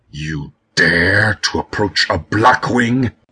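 A man's put-on character voice, fairly low and very slow, with hissing. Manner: hissed.

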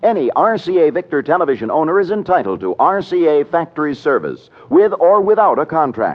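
An unremarkable speaking voice from a man, fairly high in pitch, with lively intonation at a moderate pace. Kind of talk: vintage radio commercial announcer read. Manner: smooth, polished, formal sales pitch.

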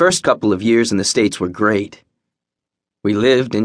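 A man talks at a moderate pace in an ordinary speaking voice. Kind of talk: audiobook narration of a memoir, first person. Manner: measured, even storytelling pace with wry, bitter edges.

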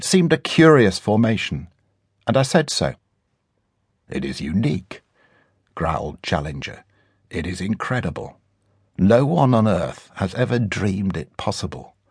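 A man talks at a moderate pace in a fairly low pitch, with vocal fry and very wide pitch swings. Long, frequent pauses break up his speech against a quiet background. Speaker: audiobook narrator. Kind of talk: dramatic audiobook narration, first-person adventure story with character voices. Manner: suspenseful, building tension and wonder.

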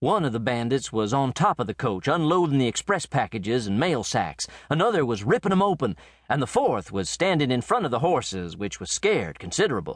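A man with a fairly high voice talks at a fairly quick pace in an animated tone, with very wide pitch swings. There is vocal fry, and the background is quiet. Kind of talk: dramatic audiobook narration of a western. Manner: animated, folksy storyteller voicing characters.

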